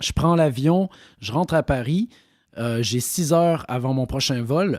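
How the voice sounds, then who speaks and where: On a very clean recording with a silent background and a dry, close sound with no echo, a man with a dark, mellow tone talks at a moderate pace with ordinary pitch variation. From Quebec. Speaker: actor. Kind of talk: interview. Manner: hesitant, many fillers.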